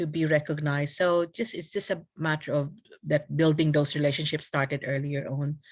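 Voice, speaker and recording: A woman with a Filipino accent has a very deep, low pitch. She talks at a fairly quick pace with fairly even intonation. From Philippines. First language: Tagalog. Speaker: community leader. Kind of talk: casual interview chat. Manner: halting with many fillers and code-switching.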